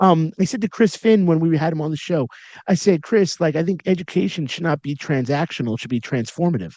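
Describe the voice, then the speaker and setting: There's lively intonation as a man talks at a very fast pace with a fairly high pitch, in dry, close sound with no echo. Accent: New York. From Long Island, New York. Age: 40s. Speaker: podcast host, educator. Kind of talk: interview conversation. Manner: animated.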